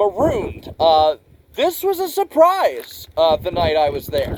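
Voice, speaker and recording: A loud man talks at a fairly slow pace with very wide pitch swings over noticeable background noise. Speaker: music reviewer. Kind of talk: casual review monologue. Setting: outdoors. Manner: halting, many fillers.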